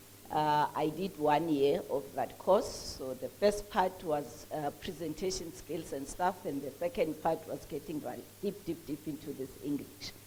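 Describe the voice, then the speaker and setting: A woman's very deep, low voice with ordinary pitch variation and hardly any pauses. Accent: Mpumalanga South African. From South Africa, Mpumalanga. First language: Swati. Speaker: entrepreneur and author. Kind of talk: speech at a book launch. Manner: halting.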